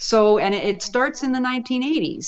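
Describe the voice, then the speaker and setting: A woman speaks fairly quickly in a Canadian accent, with ordinary pitch variation. She has a normal speaking voice. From Canada, Vancouver. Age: 60s. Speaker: professor. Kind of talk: interview.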